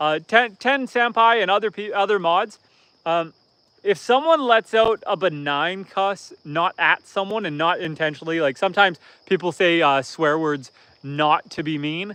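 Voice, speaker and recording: With a bright, sharp tone and lively intonation, a man talks at a high pitch and a moderate pace, the sound dry and close with no echo against a quiet background. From northern Ontario, Canada. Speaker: homesteader and live streamer. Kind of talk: casual live stream chat. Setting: outdoors.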